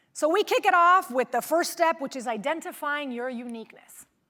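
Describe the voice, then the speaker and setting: A woman speaks at a fairly quick clip in a raised, projected voice, her tone bright, sharp and animated, with a slight Venezuelan accent. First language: Spanish. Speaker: motivational speaker, former news reporter. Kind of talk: keynote speech.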